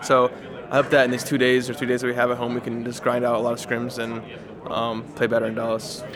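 Over noticeable background noise, a man with an American accent talks at a very fast pace in a monotone, flat intonation. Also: medium pitch for a man. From United States. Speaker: esports player. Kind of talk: interview. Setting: tournament venue. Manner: casual, filler-heavy.

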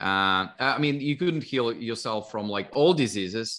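In a very clean recording with a silent background, a man with a medium pitch, ordinary pitch variation and a bright, sharp tone speaks at a fairly slow pace. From Russia. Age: 50s. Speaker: longevity investor and author. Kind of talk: interview.

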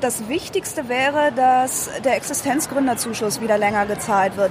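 A high-pitched woman's voice amid noticeable background noise and audible room echo. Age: 30s. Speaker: entrepreneur. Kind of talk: interview. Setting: trade fair booth.

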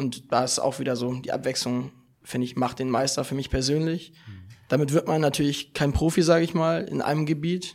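A fairly high-pitched man at a fairly quick pace, on a very clean recording with a silent background. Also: ordinary pitch variation. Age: young. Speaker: judo athlete. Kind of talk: casual chat. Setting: seminar room with live audience. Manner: halting.

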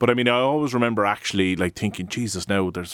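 A man with a Cork accent at a very fast pace, his intonation fairly even. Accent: Irish (Cork). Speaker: podcast host and coworking space founder. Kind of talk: podcast interview. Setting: studio.

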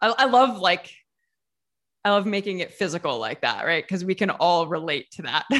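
Lively intonation and medium pitch mark this woman's Midwestern American accent as she speaks at a moderate pace. The recording is very clean, with a silent background. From small-town Ohio, US Midwest. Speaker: YouTuber and food writer. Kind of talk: casual interview chat.

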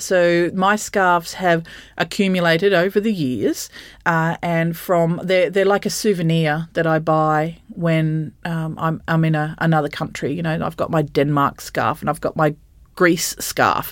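A woman in an Australian accent, fairly low-pitched and fairly slow, her intonation fairly even, on a very clean recording with a silent background. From regional Queensland, Australia (Bundaberg). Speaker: associate professor. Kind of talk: interview conversation.

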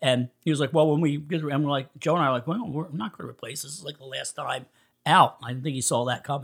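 Speaking at a very fast pace in a Philadelphia accent, a man shows big swings in loudness and ordinary pitch variation on a very clean recording with a silent background. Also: fairly high pitch for a man. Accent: Philadelphia-area American. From US Northeast, Coatesville, Pennsylvania. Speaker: punk musician. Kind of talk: casual interview chat. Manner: animated.

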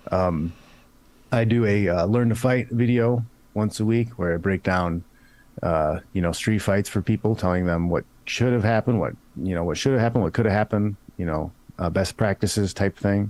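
A man talks at a moderate pace in a fairly low voice, with ordinary pitch variation and very even loudness, in a plain, everyday voice. The recording is very clean, with a silent background. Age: 40s. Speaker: former fighting champion and martial arts coach. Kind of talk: casual chat.

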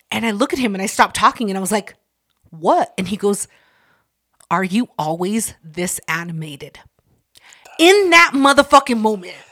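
A woman speaks loudly at a medium pitch in a bright, sharp tone, her pitch swinging very widely. She keeps a moderate pace but leaves long, frequent pauses. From Mexican heritage. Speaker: podcast host. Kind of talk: casual chat.

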